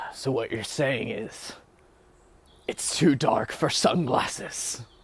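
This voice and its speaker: A man's put-on character voice, raspy and medium in pitch, at a fairly slow pace. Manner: cool, wisecracking one-liner.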